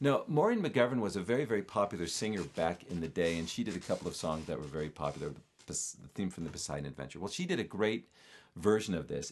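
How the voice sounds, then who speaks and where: Over a quiet background, a man with a fairly low pitch speaks at a very fast pace, his pitch swinging very widely. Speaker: podcast guest. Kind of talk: casual chat. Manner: self-deprecating, jokey.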